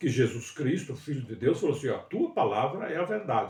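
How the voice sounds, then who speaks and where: Somewhat breathy, the voice keeps a moderate pace. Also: man. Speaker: bible teacher. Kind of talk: livestream bible study. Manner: halting.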